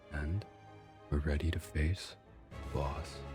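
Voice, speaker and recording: Over music in the background, a man speaks quietly at a very slow pace with a very deep, low pitch. His tone is relaxed and his intonation fairly even. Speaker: gaming YouTuber. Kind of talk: casual gameplay commentary. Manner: quiet, relaxed.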